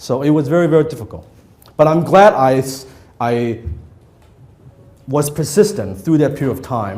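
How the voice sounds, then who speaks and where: A man's fairly high voice with lively intonation, a moderate pace, long and frequent pauses, and audible room echo. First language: not English. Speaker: copywriting trainer. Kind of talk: workshop lecture to live audience. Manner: conversational, interactive with audience.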